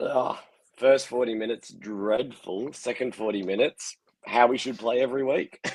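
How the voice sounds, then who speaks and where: A man with an Australian accent, medium pitch, fairly even intonation and a moderate pace, in a dry, close sound with no echo. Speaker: sports fan. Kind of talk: casual chat.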